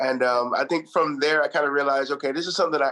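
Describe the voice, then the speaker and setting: With a Trinidadian accent, a man speaks at a fairly high pitch. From Trinidad and Texas, US. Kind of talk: interview.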